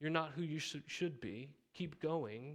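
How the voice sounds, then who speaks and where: A normal speaking voice from a man with an American accent, fairly high in pitch, at a moderate pace with fairly even intonation. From Montana. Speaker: pastor. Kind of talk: sermon. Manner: casual, conversational.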